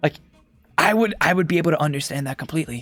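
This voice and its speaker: A man speaks with music in the background. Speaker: vlogger. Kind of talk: casual monologue. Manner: rambling with many fillers.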